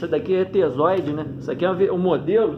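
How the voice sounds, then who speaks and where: A man with a high pitch and ordinary pitch variation speaks very fast over noticeable background noise. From Petrópolis, Rio de Janeiro, Brazil. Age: 30s. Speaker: kite flyer, YouTuber. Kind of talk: casual interview. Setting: recording himself on phone front camera.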